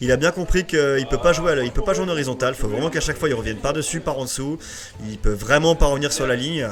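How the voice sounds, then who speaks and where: With music in the background, a man talks at a very fast pace in a fairly high pitch. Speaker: esports commentator. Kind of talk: live commentary. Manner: animated.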